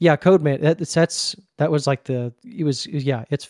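In a Southern US accent, a man talks at a fairly quick pace with a fairly high pitch and ordinary pitch variation. The sound is dry and close, with no echo. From US South, Mississippi. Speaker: anime podcaster. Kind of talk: casual chat.

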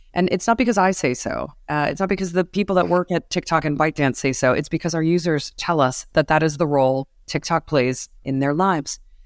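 A woman with a very deep, low pitch talks at a fairly quick pace with hardly any pauses and ordinary pitch variation. The sound is dry and close with no echo, a very clean recording with a silent background. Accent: New York. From New York City. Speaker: advertising executive at a social media platform. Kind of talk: interview conversation.

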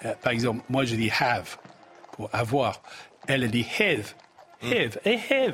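A man with an English accent speaks at a fairly slow pace, with long, frequent pauses and ordinary pitch variation. Noticeable background noise runs underneath. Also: medium pitch for a man. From England. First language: English (speaking French). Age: 60s. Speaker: business executive. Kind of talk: TV panel discussion.

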